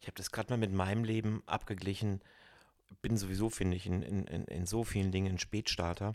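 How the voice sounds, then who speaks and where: Very fast speech from a man, fairly low in pitch. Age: 50s. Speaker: podcast host and personal growth coach. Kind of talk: casual chat. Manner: animated.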